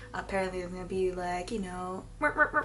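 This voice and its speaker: A woman talks fairly quickly while noticeable background noise and audible room echo fill the recording. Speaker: beauty vlogger. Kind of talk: casual chat. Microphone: possible audio issues.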